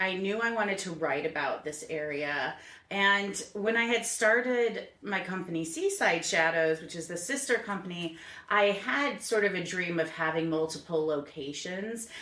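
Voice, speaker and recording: A woman with an American accent, medium pitch and lively intonation, at a fairly slow pace, with audible room echo. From New England, Connecticut. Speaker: small business owner, tour guide. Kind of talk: podcast interview.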